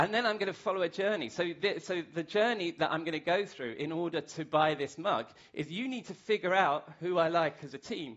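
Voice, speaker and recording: A man with a British accent and a high pitch, talking at a fairly quick pace with hardly any pauses and ordinary pitch variation. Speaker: masterclass speaker. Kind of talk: lecture. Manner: fast.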